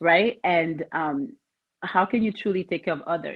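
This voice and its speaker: This is a woman speaking. She has a French Canadian accent. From Quebec, Canada. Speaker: mental toughness coach. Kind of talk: podcast interview.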